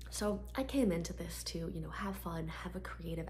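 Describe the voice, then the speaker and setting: A soft-spoken woman talks at a moderate pace. Her intonation is monotone and flat. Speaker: ASMR artist; PR agency owner. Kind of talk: ASMR Q&A talk to camera.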